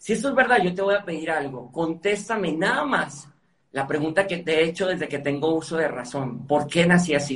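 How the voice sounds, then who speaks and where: A man speaks at a fairly quick pace in a high voice. His intonation is lively. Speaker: motivational speaker and author. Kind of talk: interview.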